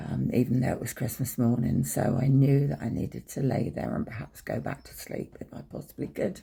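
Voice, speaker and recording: With an English accent, a man speaks at a medium pitch and a fairly quick pace. His loudness shifts in big swings and his pitch swings very widely. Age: 60s. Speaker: abuse survivor vlogger. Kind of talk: personal storytelling. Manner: hesitant, many ums.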